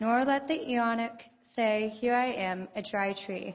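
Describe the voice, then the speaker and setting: Speaking at a fairly slow pace, a woman with an ordinary speaking voice talks at a fairly high pitch with ordinary pitch variation. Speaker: lay reader. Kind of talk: scripture reading and prayer. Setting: church.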